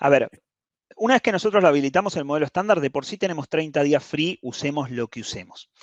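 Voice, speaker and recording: A man's fairly high voice at a very fast pace, lively intonation and big swings in loudness, in a dry, close sound with no echo. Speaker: cloud security specialist. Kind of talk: lecture.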